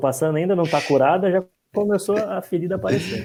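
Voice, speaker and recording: On a very clean recording with a silent background, a man with a high pitch and a dark, mellow tone talks at a fairly quick pace with ordinary pitch variation. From Brazil, Curitiba. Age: 30s. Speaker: podcast guest. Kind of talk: casual podcast discussion. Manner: casual, slangy.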